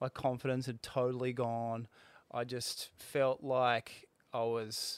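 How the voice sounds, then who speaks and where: In a dry, close sound with no echo and a very clean recording over a silent background, the speaker talks at a very slow pace with an Australian accent and a monotone, flat intonation. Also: man, medium pitch for a man. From Australia, Sydney Northern Beaches. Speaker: former pro surfer. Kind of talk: casual chat.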